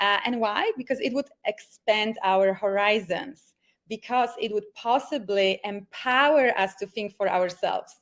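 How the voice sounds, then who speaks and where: With a Polish accent, a woman speaks at a fairly slow pace and fairly high pitch, with ordinary pitch variation and hardly any pauses. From Poland. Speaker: life coach. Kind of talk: online workshop presentation. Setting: video call from home. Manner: enthusiastic.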